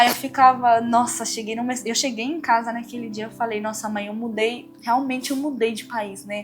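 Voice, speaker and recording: With music in the background and audible room echo, a woman with a fairly high pitch talks in a monotone, flat delivery, hardly pausing, her loudness swinging widely. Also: moderate pace. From Cuba. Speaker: dentist, former student. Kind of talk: interview.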